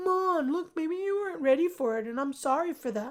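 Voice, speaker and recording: Putting on a squeaky character voice, a woman speaks at a high pitch with lively intonation. Her pace is fairly quick. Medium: solo performance. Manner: crude, cocky.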